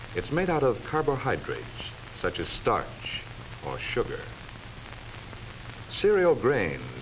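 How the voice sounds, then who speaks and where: A man speaks at a moderate pace, and noticeable background noise can be heard behind him. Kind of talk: educational film narration.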